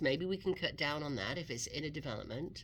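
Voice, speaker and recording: Speaking with an English accent, a woman moves at a fairly quick pace with lively intonation and vocal fry. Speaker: real estate radio host. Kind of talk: radio talk show advice. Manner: conversational.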